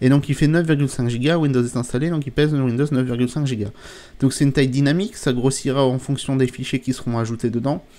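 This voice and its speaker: A man's dark, mellow voice sits at a medium pitch, moving at a fairly quick pace with ordinary pitch variation. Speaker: tech YouTuber. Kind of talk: tutorial. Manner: hesitant, many fillers.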